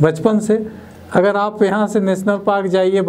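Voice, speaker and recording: A man talks at a fairly slow pace. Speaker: guest. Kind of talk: interview answer. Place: studio. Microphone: lapel.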